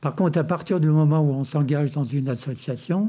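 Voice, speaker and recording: Somewhat breathy, dark, mellow tone with ordinary pitch variation, on a very clean recording with a silent background. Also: man. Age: 70s. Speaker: founder of a volunteer association. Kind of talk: interview. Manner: halting.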